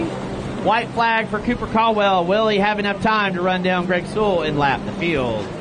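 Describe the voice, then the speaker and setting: Someone speaks at a moderate pace with an American accent over noticeable background noise. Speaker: race announcer. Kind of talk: live commentary. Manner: animated.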